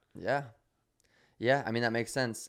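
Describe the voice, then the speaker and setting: Over a silent background, a very clean recording captures a man speaking. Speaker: podcast co-host, former social media star. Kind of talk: casual chat. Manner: animated.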